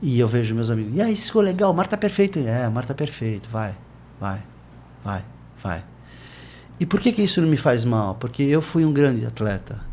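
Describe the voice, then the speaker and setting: A man speaks at a medium pitch and a moderate pace, his somewhat breathy voice dark and mellow in tone. His pitch swings very widely, and he leaves long, frequent pauses. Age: 60s. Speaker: surfer and surf educator. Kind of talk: interview conversation. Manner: animated.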